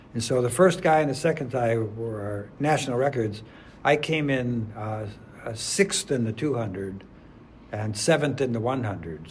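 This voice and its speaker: Speaking at a fairly slow pace, a man uses a medium pitch and lively intonation, his voice somewhat breathy. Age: 80s+. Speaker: adjunct math professor and masters track athlete. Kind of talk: interview answer.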